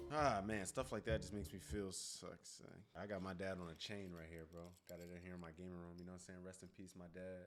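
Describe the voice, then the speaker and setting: A man's very deep, low voice at a very fast pace, fairly even in intonation, with big swings in loudness and music in the background. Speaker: reaction youtuber. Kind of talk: casual reaction chat. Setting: home gaming room.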